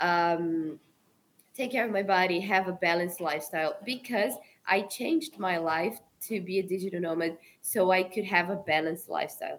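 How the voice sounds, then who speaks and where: Speaking at a fairly quick pace, a woman with medium pitch talks in a Brazilian Portuguese accent. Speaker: travel content creator and photographer. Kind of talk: casual interview.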